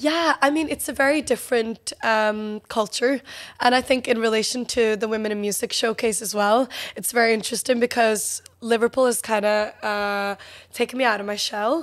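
Against a quiet background, a woman with a Northern Irish accent speaks at a moderate pace in a fairly high pitch with fairly even intonation. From Norway. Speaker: musician, songwriter. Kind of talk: interview answer. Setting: studio. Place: studio. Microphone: studio mic.

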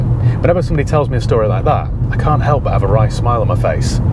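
Against loud background noise, a man talks at a very fast pace in a dry sound with no echo. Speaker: used car dealer vlogger. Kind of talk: casual vlog chat. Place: car.

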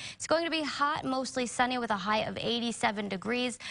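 At a moderate pace, a woman speaks in an upbeat tone. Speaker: TV meteorologist. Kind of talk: weather report. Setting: TV studio. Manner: brisk, upbeat, conversational. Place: studio.

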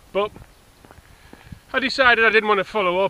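A man's raised, projected voice at a moderate pace, ordinary pitch variation and a dry sound with no echo. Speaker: vlogger. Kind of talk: casual vlog chat, personal rant. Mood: exasperated, ranting. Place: open country. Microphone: phone near.

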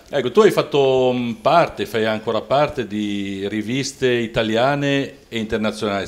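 A man speaks with fairly even intonation. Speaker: poet and interviewer, show host. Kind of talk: interview. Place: home room. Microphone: handheld.

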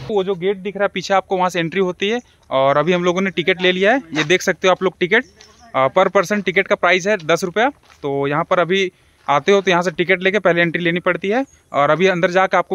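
A high-pitched man speaks at a fairly quick pace with ordinary pitch variation. The sound is dry, with no echo. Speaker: vlogger. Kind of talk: casual vlog chat. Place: forest. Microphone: phone near.

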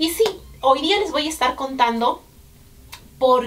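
A woman speaks in a high voice with very wide pitch swings over light background noise. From Peru. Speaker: vlogger. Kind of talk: casual talk to camera. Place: home room.

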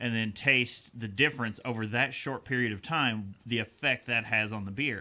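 A man in an ordinary speaking voice at medium pitch, with fairly even intonation and a moderate pace. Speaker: beer podcast co-host. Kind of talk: casual chat.

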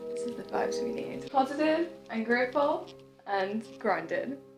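A woman's very slow speech over clear background music. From Northern Ireland. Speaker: content creator. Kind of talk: casual vlog talk to camera. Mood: cheerful, excited. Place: home room. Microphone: camera far.

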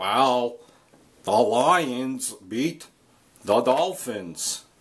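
A man speaks in a put-on character voice. His pitch sits in the middle range. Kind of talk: casual vlog chat. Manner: mocking, sarcastic. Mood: mock annoyed, ranting.

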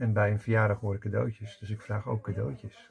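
Vocal fry runs through the voice at a moderate pace. Light background noise is present. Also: man. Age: 60s. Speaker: personal development coach; coach or spiritual teacher. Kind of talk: personal video monologue. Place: home room.

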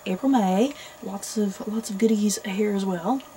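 A woman speaks at a fairly slow pace with light background noise behind her. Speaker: book vlogger. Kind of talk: casual vlog chat. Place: home room.

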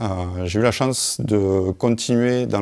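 Ordinary pitch variation over a quiet background. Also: man. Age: 30s. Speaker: GIS manager, former student. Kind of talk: testimony. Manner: halting, many hesitations. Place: hall.

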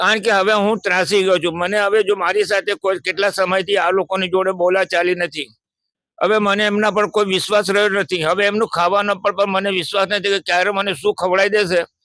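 A man projects a raised, high-pitched voice with a bright, sharp tone, flat monotone intonation and very even loudness, recorded dry and close with no echo. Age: 80s+. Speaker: elderly man living in a shelter. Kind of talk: interview testimony.

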